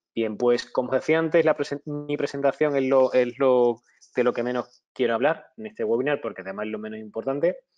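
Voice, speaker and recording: A man speaks with a Spanish accent at a fairly quick pace. His pitch is medium, with ordinary variation. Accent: Spanish (Spain). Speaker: webinar presenter, IT auditor and consultant. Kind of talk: webinar lecture. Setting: online webinar. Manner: halting, many fillers and restarts.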